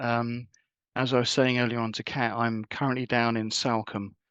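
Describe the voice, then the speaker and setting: The man speaks with a southern English accent. His pitch is medium and his pace moderate. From southern England, Wiltshire. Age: 60s. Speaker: leadership coach and retreat facilitator. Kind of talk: talk.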